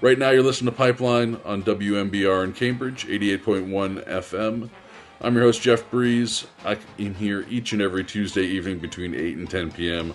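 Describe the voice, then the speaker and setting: A man speaks at a fairly low pitch with ordinary pitch variation. Music plays in the background. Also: moderate pace. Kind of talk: radio DJ patter, festive holiday show intro and back-announcing tracks. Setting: radio studio broadcast. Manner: warm, upbeat, breezy and chatty; casual with cheerful holiday greetings; relaxed, conversational, a bit rambling and self-correcting.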